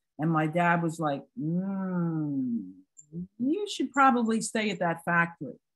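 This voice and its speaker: A woman with an American accent speaks at a medium pitch and a fairly slow pace. Her voice is somewhat breathy, and her intonation is lively. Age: 60s. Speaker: retired psychiatric nurse and trainer. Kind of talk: personal testimony in a training webinar. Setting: online webinar.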